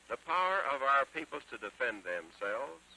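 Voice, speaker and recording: A man with an American accent speaks in a solemn tone at a moderate pace. The sound is dry and close with no echo, though noticeable background noise comes through. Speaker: US president giving a radio address. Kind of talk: solemn historic speech. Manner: solemn, measured.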